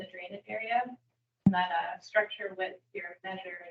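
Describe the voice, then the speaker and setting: A woman speaks at a fairly slow pace. She is soft-spoken. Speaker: trainer. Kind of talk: training session. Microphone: too quiet for online listeners.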